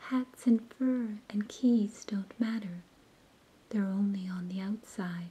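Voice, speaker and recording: Soft-spoken and gentle in tone, the voice whispers at a very slow pace. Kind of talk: soft whispered bedtime story reading. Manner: soft-spoken, whispered, gentle.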